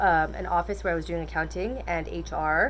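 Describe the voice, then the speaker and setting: The voice carries a Canadian accent. Room echo is audible. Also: woman. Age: 20s. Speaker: weight loss vlogger. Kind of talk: casual vlog monologue. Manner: fast; animated.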